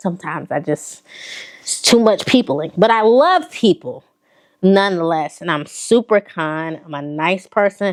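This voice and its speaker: This woman, in a Southern accent, talks at a moderate pace and medium pitch with an animated tone, lively intonation and big swings in loudness. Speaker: fashion vlogger. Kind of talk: casual chat.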